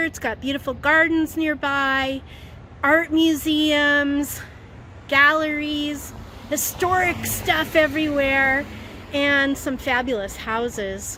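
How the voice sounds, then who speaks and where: A woman's raised, projected voice, high in pitch, at a very slow pace. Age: old. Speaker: voice actor. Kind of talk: casual talk to camera. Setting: outdoors. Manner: upbeat.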